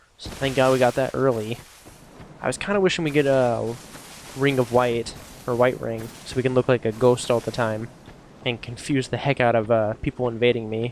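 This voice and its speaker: Noticeable noise runs in the background. The man's voice sits at a medium pitch. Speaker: gaming youtuber. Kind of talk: gameplay commentary. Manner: fast; casual, filler-heavy.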